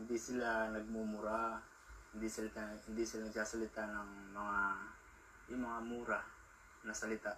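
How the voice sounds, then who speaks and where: Over noticeable background noise, a man speaks at a moderate pace and medium pitch with monotone, flat intonation and long, frequent pauses. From Philippines. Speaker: vlogger. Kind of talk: casual vlog monologue. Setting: outdoors in a park. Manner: halting.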